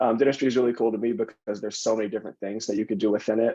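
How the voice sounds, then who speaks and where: This man speaks with an American accent and a fairly low pitch. His tone is dark and mellow. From Tacoma, Washington area. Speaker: dental student. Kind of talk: panel discussion.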